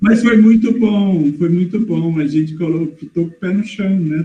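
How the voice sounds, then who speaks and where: At a fairly slow pace, a man speaks in a high pitch with a dark, mellow tone. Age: 60s. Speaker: participant asking questions. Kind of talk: casual discussion in online live session. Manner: halting, hesitant.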